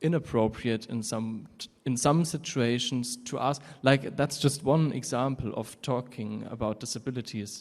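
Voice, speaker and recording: A man's medium-pitched voice with a German accent. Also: fairly even intonation, moderate pace, hardly any pauses. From Germany. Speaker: audience member. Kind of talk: audience question. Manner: halting.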